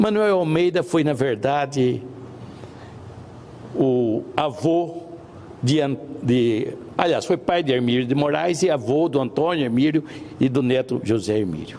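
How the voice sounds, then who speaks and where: Against noticeable background noise, a man with a fairly high voice speaks fairly slowly at very even loudness, with ordinary pitch variation and long, frequent pauses. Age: 70s. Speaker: senator. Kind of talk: formal speech. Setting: senate plenary session.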